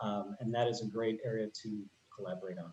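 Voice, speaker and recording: Using an ordinary speaking voice, a man speaks at a fairly quick pace with ordinary pitch variation. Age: 30s. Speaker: peace program coordinator. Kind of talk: video meeting discussion.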